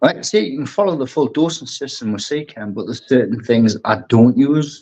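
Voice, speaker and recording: A man with a strong Geordie accent. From northeast England, Newcastle. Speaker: aquascaper and brand ambassador. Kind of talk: casual interview chat.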